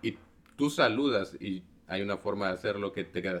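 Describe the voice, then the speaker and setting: A man talks at a moderate pace. His fairly low voice keeps a fairly even intonation. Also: very clean recording, silent background. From Mexico, Xalapa (Veracruz). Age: 30s. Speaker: former freemason. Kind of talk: interview conversation.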